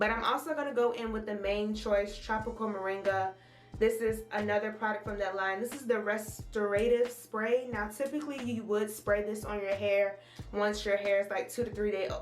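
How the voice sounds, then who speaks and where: Over music in the background, a woman with a fairly high pitch sounds animated, and the room echo is audible. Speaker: beauty vlogger. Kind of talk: tutorial. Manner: fast.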